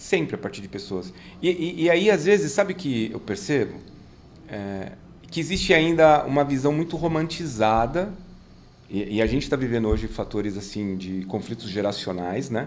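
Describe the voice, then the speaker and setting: His voice sits at a medium pitch for a man but swings very widely up and down. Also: moderate pace. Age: 50s. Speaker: business consultant and mentor. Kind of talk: casual chat.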